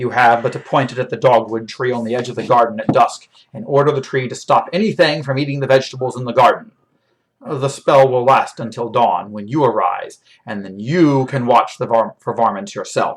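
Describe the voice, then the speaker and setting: Putting on a character voice, a man speaks gruffly and with a rumbling quality at a medium pitch and a fairly quick pace. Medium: read story. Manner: gruff, grumbling.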